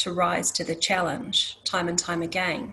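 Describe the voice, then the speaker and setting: A woman talks rather slowly, her voice slightly breathy. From New Zealand, Māori. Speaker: nursing organisation leader. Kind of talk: panel introduction. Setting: conference panel. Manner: halting.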